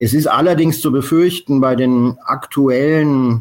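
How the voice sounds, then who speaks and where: Male speech with ordinary pitch variation, captured on a very clean recording against a silent background. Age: 50s. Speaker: bar owner and Bitcoin pioneer. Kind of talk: interview. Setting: call. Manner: halting, many fillers.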